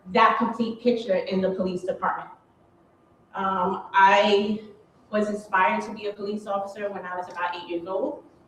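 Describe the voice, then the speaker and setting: The speaker has a New York accent and keeps a fairly even intonation. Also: woman. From New York, Queens. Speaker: police officer. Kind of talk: panel talk.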